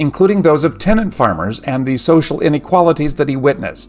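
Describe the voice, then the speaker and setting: Over music in the background, the speaker goes at a fairly quick pace with lively intonation. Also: man. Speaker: literature commentator. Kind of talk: educational lecture narration.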